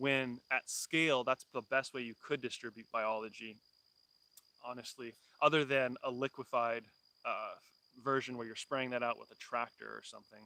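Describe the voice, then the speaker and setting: A man with a Californian accent speaks at a medium pitch in a bright, sharp tone with monotone, flat intonation, big swings in loudness and long, frequent pauses. The sound is dry and close with no echo. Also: moderate pace. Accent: Californian American. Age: 30s. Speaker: homesteader. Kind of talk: live stream chat. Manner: casual, many fillers.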